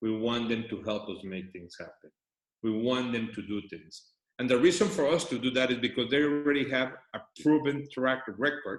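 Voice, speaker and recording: A man with a non-native accent talks at a moderate pace in a medium pitch. His pitch variation is ordinary, but his loudness swings widely. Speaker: company CEO. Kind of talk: business presentation.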